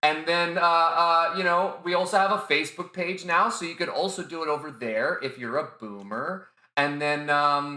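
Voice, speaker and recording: Loud and bright with a sharp tone, a man speaks at a moderate pace with a fairly high pitch and ordinary pitch variation. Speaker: podcast host. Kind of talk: casual chat. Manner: halting, repeats words.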